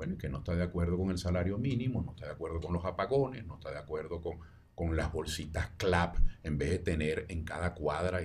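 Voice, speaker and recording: A man's very deep, low, somewhat breathy voice with a Venezuelan accent, at a fairly quick pace. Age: 70s. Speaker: sociologist, presidential candidate. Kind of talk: interview answer.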